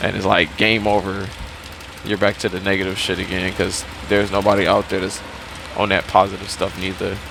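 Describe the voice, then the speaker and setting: Noticeable background noise sits behind a man with a fairly low pitch. He talks at a fairly quick pace but with long, frequent pauses. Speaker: vlogger. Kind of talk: casual monologue. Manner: halting.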